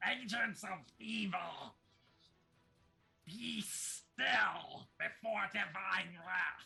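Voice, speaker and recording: In a put-on character voice, a man bellows at a high pitch. He goes very slowly, with long, frequent pauses. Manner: bellowing, grand.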